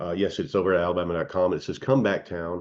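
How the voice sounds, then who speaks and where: A man speaks at a very fast pace with a very deep, low pitch. The background is quiet. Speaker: cannabis news vlogger and hemp shop owner. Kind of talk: casual commentary vlog. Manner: hesitant, many fillers.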